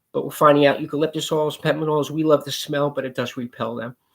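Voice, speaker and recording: This man has a normal speaking voice, pitched fairly high, and he talks at a fairly quick pace. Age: 60s. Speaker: pest control business owner. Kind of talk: promotional talk to camera. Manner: casual, conversational.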